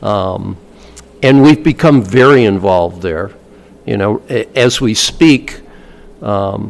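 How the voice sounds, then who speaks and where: Using lively intonation, a man with an American accent and a fairly low pitch speaks at a very slow pace with long, frequent pauses. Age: 70s. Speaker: Vietnam veteran and author. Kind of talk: interview conversation.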